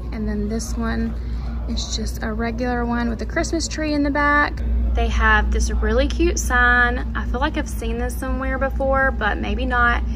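A woman's very deep, low voice at a moderate pace, with clear music in the background. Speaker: lifestyle vlogger. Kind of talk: casual shop-with-me commentary. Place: shop. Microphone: phone near.

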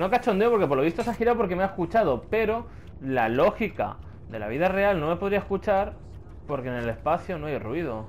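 Talking fairly quickly in a Castilian accent, a man has a high pitch, an animated tone and very wide pitch swings. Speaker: gaming youtuber. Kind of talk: let's play commentary.

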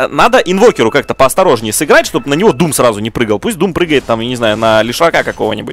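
Against noticeable background noise, a man at medium pitch races along at a very fast pace with hardly any pauses and very wide pitch swings. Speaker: esports commentator. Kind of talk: live commentary.

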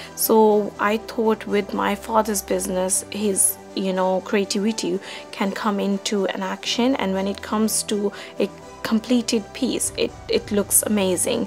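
Clear music plays in the background. Over it, a woman speaks at a fairly slow pace. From Pakistan. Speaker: business management student. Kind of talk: interview answer. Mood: calm, reflective. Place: home room.

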